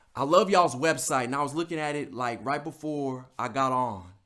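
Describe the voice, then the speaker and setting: The speaker has an animated tone, ordinary pitch variation and a moderate pace in a very clean recording with a silent background. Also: man. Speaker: motivational speaker. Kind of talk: motivational talk.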